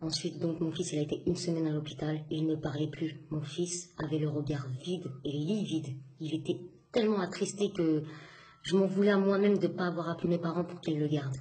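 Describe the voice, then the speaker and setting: A woman with a fairly low voice speaks fairly quickly and with fairly even intonation, amid noticeable background noise and audible room echo. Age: 20s. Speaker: single mother. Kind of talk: testimony. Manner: halting.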